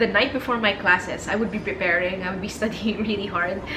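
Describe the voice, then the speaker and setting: A woman of medium pitch with a Filipino accent, over noticeable background noise. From Philippines. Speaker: corporate lawyer. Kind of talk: storytime vlog in English and Tagalog.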